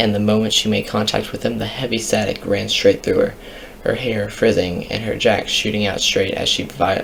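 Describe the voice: The clip is plain reading aloud.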